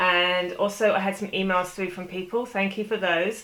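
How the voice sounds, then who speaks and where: A woman with a British accent speaks at a moderate pace in a medium pitch, her tone bright and sharp. Her intonation stays monotone and flat. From United Kingdom. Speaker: crime fiction and spy novel author. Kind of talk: casual talk to camera answering reader questions.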